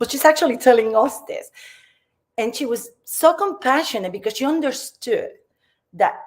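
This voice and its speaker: A woman with a Puerto Rican accent talks at a moderate pace, her pitch swinging very widely. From Puerto Rico. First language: Spanish. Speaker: community speaker. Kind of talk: personal storytelling talk. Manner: halting, with fillers.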